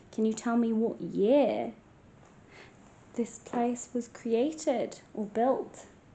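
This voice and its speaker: Whispering quietly with an English accent, a woman speaks at a very slow pace with long, frequent pauses. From England. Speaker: paranormal investigator vlogger. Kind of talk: paranormal investigation vlog, calling out to spirits. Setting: hotel room at night.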